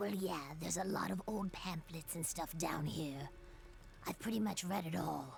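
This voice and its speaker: A put-on character voice at a middle pitch moves along at a moderate pace. Background noise is clear. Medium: video game. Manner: hesitant, friendly.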